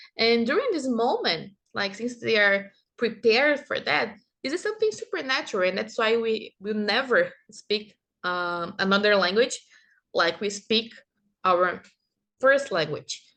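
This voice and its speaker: In a Brazilian accent, a woman speaks at a fairly slow pace with long, frequent pauses, her fairly high voice bright and sharp against a quiet background. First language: Portuguese. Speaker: kindergarten teacher and master's student presenting research. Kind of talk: conference presentation. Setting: online conference recording. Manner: halting, with self-corrections.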